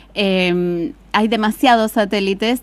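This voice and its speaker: The voice belongs to a woman. Her pitch is medium, with ordinary variation. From Argentina, Buenos Aires province. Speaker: astrophysicist. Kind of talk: interview. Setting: studio.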